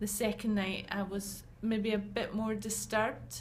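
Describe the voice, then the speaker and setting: Audible room echo surrounds the voice. A woman speaks at a fairly slow pace. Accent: Glaswegian. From Scotland, Glasgow. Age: 40s. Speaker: patient. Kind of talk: interview.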